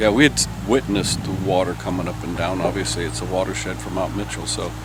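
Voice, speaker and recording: A man with an American accent, very deep and low in pitch, at a very fast pace with very wide pitch swings, amid noticeable background noise and audible room echo. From California. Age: 70s. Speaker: hurricane survivor. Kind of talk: interview.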